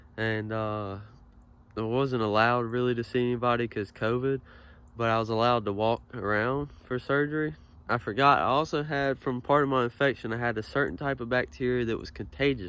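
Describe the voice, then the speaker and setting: A man with a plain, everyday voice talks at a fairly quick pace, his medium pitch showing ordinary variation, in a very clean recording with a silent background. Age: young. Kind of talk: casual personal story to camera.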